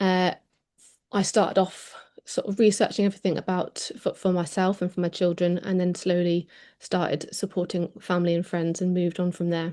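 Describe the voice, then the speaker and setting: A woman speaks at a medium pitch with a dark, mellow tone. Her intonation is monotone and flat, over a quiet background. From Devon, south-west England. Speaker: wellness advocate, workshop presenter. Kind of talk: online workshop presentation. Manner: hesitant, many ums.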